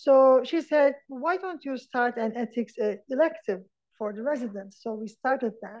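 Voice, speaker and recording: Her pitch high, a woman speaks at a fairly slow pace. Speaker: neonatologist and ethics educator. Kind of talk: lecture. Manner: halting.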